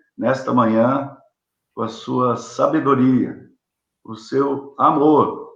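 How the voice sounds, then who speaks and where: Audible room echo around a man's medium-pitched voice, its pitch varying in an ordinary way. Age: 60s. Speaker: Sunday school teacher. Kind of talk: Bible lesson. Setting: livestream.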